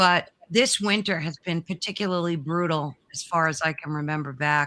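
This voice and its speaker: With a bright, sharp tone, a woman talks at a moderate pace and a fairly low pitch. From New York. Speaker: paranormal show host, guest. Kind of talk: interview. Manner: casual, chatty.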